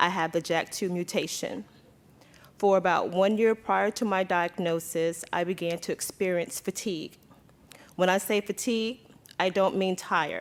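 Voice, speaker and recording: A woman talks at a moderate pace in a plain, everyday voice. Her medium pitch holds a fairly even intonation. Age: 40s. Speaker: patient advocate. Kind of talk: testimony.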